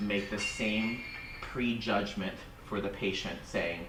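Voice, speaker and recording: The speech moves at a fairly slow pace. Noticeable background noise and audible room echo fill the recording. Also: man. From Vietnam, raised in United States. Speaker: dental industry professional. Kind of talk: audience comment at seminar.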